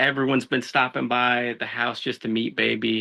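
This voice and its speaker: A man's bright, sharp voice at medium pitch, with an American accent and monotone, flat intonation. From Los Angeles, California (Mexican American family). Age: 30s. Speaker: law enforcement officer. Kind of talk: casual podcast interview. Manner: casual, with frequent fillers and repetitions.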